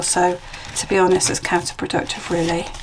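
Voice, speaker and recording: The speaker talks at a fairly quick pace in a British accent. Noticeable background noise runs underneath. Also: woman. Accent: UK. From UK. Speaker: junk journal crafter and seller. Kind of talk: craft flip-through video. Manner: casual, chatty.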